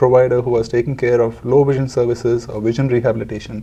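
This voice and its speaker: A man with a Telugu accent at a fairly quick pace. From India (Bangalore, Calcutta). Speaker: charity founder. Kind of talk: interview.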